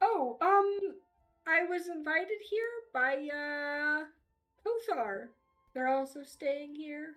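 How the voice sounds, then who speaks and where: Putting on a squeaky character voice in a high pitch, a woman speaks at a very slow pace with long, frequent pauses. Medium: actual play. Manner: nervous, halting.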